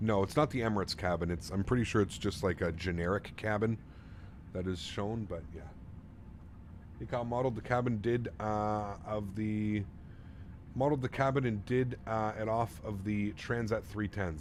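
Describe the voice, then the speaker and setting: Speaking with a Canadian accent, a man with a plain, everyday voice keeps a moderate pace and a fairly low pitch with ordinary pitch variation. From Canada. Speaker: flight sim streamer. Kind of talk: live stream chat. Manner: casual, upbeat.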